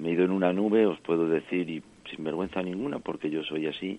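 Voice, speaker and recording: This man's very deep, low voice keeps to a moderate pace. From French Basque Country. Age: 40s. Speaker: injured former bullfighter. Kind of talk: interview.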